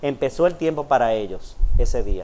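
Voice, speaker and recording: The voice is a man's. Its pitch shifts by ordinary amounts. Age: 50s. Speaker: pastor. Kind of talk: sermon. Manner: halting.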